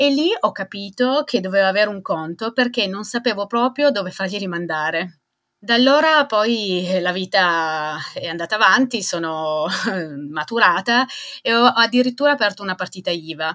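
A woman speaks at medium pitch with lively intonation and a moderate pace. She has an unremarkable speaking voice on a very clean recording with a silent background. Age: 40s. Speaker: small business owner. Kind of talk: testimony.

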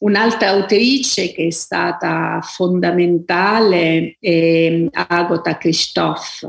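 A woman with a fairly low voice talks very slowly, her pitch moving in an ordinary way. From Abruzzo, Italy. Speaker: author, novelist. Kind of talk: interview, reflective talk about books and writing. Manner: hesitant, thoughtful, with frequent fillers.

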